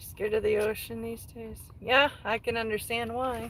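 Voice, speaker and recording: A woman speaks at a fairly slow pace. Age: 30s. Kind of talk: casual livestream chat.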